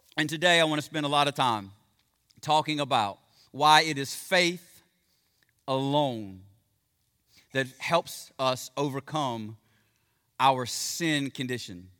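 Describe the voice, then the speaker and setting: Here a man has a bright, sharp tone and fairly high pitch. His speech has long, frequent pauses. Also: ordinary pitch variation. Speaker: pastor. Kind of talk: sermon. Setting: church. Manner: fast talker; informal, friendly.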